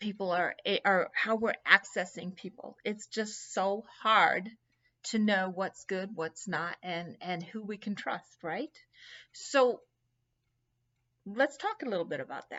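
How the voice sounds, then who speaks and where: A woman at medium pitch with ordinary pitch variation, a very slow pace and long, frequent pauses. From England. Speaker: anti-trafficking educator. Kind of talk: educational talk. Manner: casual, conversational.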